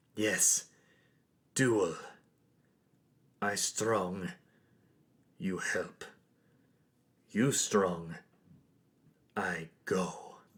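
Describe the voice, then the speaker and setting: A man uses a put-on character voice, raspy and fairly low in pitch. He goes at a very slow pace with long, frequent pauses. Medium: actual play. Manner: terse, broken grammar.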